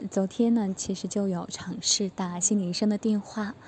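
Fairly even intonation from a woman at medium pitch and a moderate pace. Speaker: student preparing for exams. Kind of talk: testimony.

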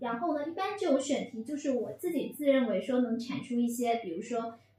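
A woman speaks with a high pitch and ordinary pitch variation. Noticeable background noise sits behind her. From Fujian. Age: 30s. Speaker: PR professional, former journalist. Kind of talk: casual chat.

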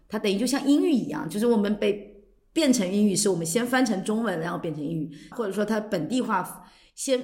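A woman at a medium pitch, somewhat breathy, with lively intonation and a fairly quick pace. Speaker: podcast host. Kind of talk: casual chat.

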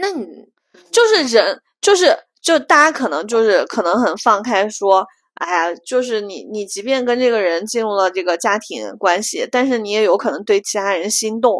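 This woman has an animated tone and lively intonation at a fairly high pitch. She talks at a moderate pace. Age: 30s. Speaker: podcast co-host. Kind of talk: casual chat.

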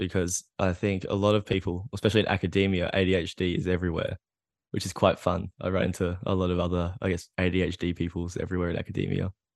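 A man with an Australian accent talks very fast in a very deep, low pitch, the sound dry and close with no echo against a quiet background. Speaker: PhD student. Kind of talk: casual chat. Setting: video call. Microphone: good microphone.

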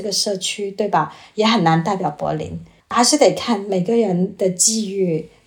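This woman has a plain, everyday voice with a medium pitch. She talks at a moderate pace with ordinary pitch variation. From China. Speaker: former journalist, student. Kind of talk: casual chat.

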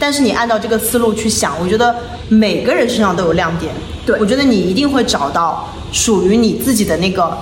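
With music in the background and audible room echo, a woman speaks at a fairly quick pace in a fairly high voice with lively intonation. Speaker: podcast host, digital nomad. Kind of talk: casual interview chat.

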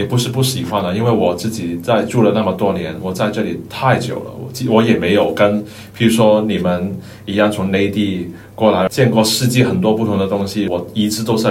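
In a room with audible echo and noticeable background noise, a man speaks at a fairly quick pace with a Cantonese accent. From Hong Kong. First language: Cantonese (speaking Chinese). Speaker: office worker. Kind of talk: casual chat.

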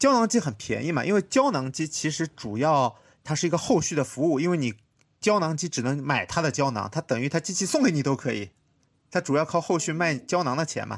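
With lively intonation and vocal fry, a man speaks on a very clean recording with a silent background. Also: fairly high pitch for a man, fairly quick pace. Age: 30s. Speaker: podcast host, designer. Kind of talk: casual chat.

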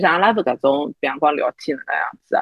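A woman's voice with very wide pitch swings, vocal fry and a moderate pace. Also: dry, close sound with no echo. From Shanghai. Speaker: podcast co-host. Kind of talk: casual chat.

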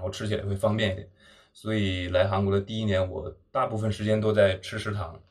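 This man talks at a very fast pace in a fairly low, somewhat breathy voice with monotone, flat intonation. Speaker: podcast co-host, graduate student. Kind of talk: casual chat. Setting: rented flat in Seoul.

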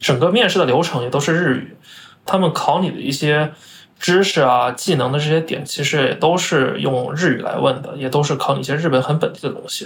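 Talking at a fairly quick pace, a man with a fairly high pitch and ordinary pitch variation shows vocal fry. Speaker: finance professional. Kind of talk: interview.

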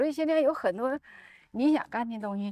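With an ordinary speaking voice, a woman moves at a fairly quick pace with lively intonation. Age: 60s. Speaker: doctor. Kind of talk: casual chat. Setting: outdoors, walking.

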